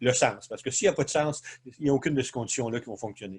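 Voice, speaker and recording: A somewhat breathy man's voice of medium pitch at a fairly quick pace. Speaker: leadership consultant. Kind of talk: webinar presentation. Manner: fast; hesitant, many fillers.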